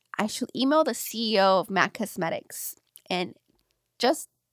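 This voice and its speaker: A woman's fairly high voice with very wide pitch swings, in a very clean recording with a silent background and a dry, close sound with no echo. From US, Los Angeles County (Lynwood). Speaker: radio personality and children's book publisher. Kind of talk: casual interview. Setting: studio.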